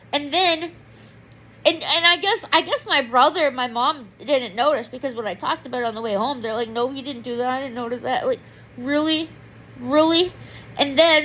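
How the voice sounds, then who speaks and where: Bright and sharp, a woman's high-pitched voice is raised and projected. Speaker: vlogger. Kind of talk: personal diary vlog. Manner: loud; emotional, rambling.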